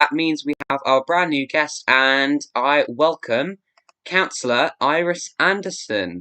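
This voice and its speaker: Speaking very slowly in an English accent, a man with a fairly high pitch uses ordinary pitch variation. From grew up in England from age seven. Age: young. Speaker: live stream host. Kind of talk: interview. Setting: live stream.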